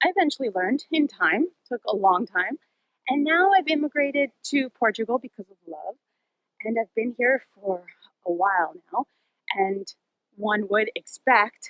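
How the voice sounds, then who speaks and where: A woman's high pitch with very wide pitch swings, big swings in loudness, a moderate pace and long, frequent pauses. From Argentina. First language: Spanish. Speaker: wellness vlogger. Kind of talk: personal advice talk.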